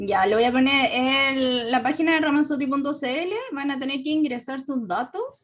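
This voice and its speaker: A fairly slow pace with hardly any pauses. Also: woman. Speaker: textile designer and workshop teacher. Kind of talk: webinar Q&A. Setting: online webinar.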